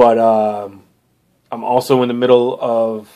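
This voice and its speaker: This is a man speaking at a medium pitch. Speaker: comic book reviewer. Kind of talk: casual monologue. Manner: halting, many fillers.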